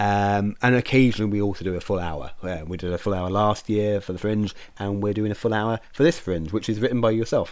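The speaker talks at a fairly quick pace with a British accent. Pitch variation is ordinary. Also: man, fairly low pitch for a man. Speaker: podcast host and theatre director. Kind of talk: casual interview chat.

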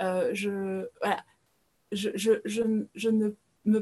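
Somewhat breathy, a woman talks at a fairly high pitch. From France. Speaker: spiritual guide. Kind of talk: interview podcast. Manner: hesitant, with many fillers and repetitions.

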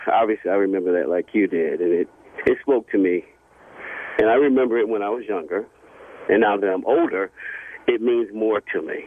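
There is noticeable background noise. A man talks at a fairly quick pace but leaves long, frequent pauses. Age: 50s. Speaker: caller. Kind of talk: call-in chat.

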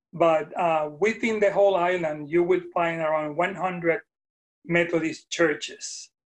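The speaker talks at a fairly slow pace in a Puerto Rican accent. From Puerto Rico. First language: Spanish. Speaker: retired Methodist minister. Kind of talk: casual interview conversation. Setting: video call.

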